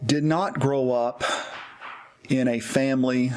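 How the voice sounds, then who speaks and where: Music plays in the background behind a speaker with an American accent. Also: man. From US South, East Tennessee. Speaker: pastor. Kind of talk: personal testimony.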